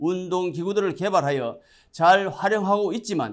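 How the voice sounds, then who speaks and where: On a very clean recording with a silent background, a man speaks in a high pitch. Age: 70s. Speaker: religious messenger. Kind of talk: prepared address. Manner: formal.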